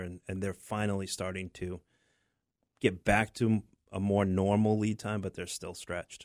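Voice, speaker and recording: A man with an American accent speaks at a moderate pace in a very deep, low pitch and a monotone, flat intonation, on a very clean recording with a silent background and a dry, close sound with no echo. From southern Maine, US. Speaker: remodeling contractor. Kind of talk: radio interview.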